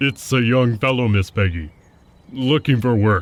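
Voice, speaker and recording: Using a put-on character voice, a man talks at a moderate pace and medium pitch with ordinary pitch variation. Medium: audio drama. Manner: curt, formal.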